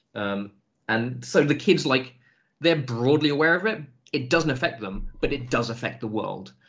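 An English accent marks this man's speech. His pitch is medium and his intonation lively. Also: moderate pace. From England. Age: 30s. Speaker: tabletop RPG writer. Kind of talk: casual podcast interview.

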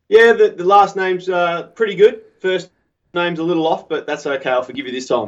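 Speaking fairly quickly with an Australian accent, a man uses a high pitch, lively intonation and big swings in loudness. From Melbourne, Australia. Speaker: pipe maker. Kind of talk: casual interview chat. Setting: video or phone call, late at night.

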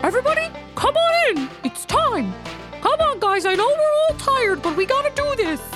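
Over clear music in the background, a put-on character voice at an extremely high pitch moves at a moderate pace. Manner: urgent, tired but determined.

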